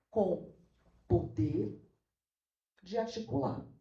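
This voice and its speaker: Audible room echo surrounds a woman whose dark, mellow tone carries vocal fry. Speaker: law professor and researcher. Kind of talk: academic talk. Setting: auditorium at academic event.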